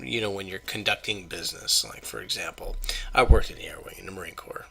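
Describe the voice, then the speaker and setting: A man whispering at a very fast pace. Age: 30s. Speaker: YouTuber, Marine Corps veteran. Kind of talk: casual vlog monologue. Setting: at home at night. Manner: quiet, subdued.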